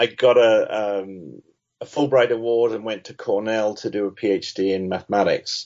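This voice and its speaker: This man speaks with an English accent. His pace is moderate. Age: 60s. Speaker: mathematics education professor. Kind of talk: interview.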